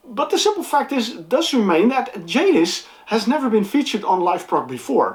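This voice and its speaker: A high-pitched woman's voice with very wide pitch swings, hardly any pauses, and noticeable background noise. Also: moderate pace, very even loudness. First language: not English. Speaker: music reviewer and channel host. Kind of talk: casual vlog. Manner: halting, many fillers and repeats.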